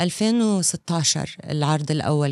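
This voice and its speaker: In a dry recording with no echo and a quiet background, a woman speaks with a very deep, low pitch, ordinary pitch variation and a dark, mellow tone. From Saudi Arabia, Eastern Province. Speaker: film director. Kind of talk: casual interview chat. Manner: animated. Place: studio. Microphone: studio mic.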